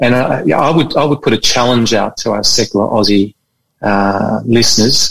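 A man with a medium pitch talks at a moderate pace, showing ordinary pitch variation and vocal fry. His loudness stays very even. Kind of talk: casual interview chat. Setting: video call.

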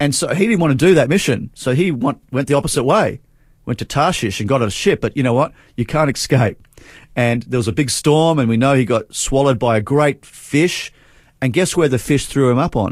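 A man with an Australian accent, fairly quick and with lively intonation, in a very clean recording with a silent background. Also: medium pitch for a man. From Australia, Adelaide. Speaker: revival speaker and prayer director. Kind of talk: faith testimony interview.

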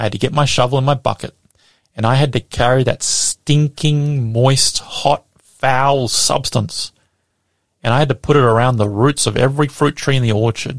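A somewhat breathy man speaks at a moderate pace with fairly even intonation and very even loudness. The sound is dry and close, with no echo. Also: medium pitch for a man. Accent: Australian. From Australia. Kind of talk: radio sermon.

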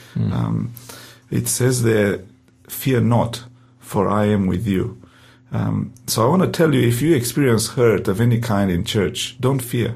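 Here a man speaks fairly slowly with a Romanian accent and a medium pitch. His pitch varies in an ordinary way, and vocal fry runs through his voice. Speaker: pastor. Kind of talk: interview testimony. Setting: studio.

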